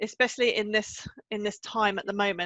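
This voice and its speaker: With an English accent, a woman speaks at a moderate pace in a fairly high voice with fairly even intonation. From England. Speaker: confidence coach. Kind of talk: podcast interview.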